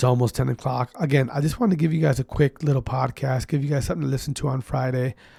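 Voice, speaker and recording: The speaker is a man with a medium pitch and a dark, mellow, somewhat breathy tone. He keeps a fairly quick pace. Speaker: esports podcast host. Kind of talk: casual podcast monologue. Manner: casual, informal.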